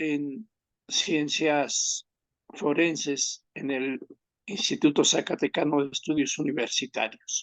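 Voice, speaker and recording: Very slowly and with fairly even intonation, a man with a fairly high voice speaks in a dry, close sound with no echo. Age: 60s. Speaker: criminal law expert, former prison director. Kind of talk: research interview.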